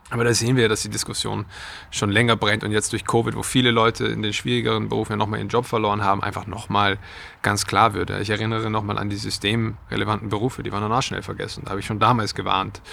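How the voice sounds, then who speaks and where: A man with a bright, sharp tone and vocal fry talks at a very fast pace in a fairly low pitch. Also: fairly even intonation. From Austria. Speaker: trend and futures researcher. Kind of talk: interview.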